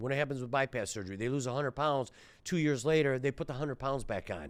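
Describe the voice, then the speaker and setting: A man with a medium pitch and an animated tone, on a very clean recording with a silent background. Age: 60s. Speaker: surgeon and health podcast host. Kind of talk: rant monologue.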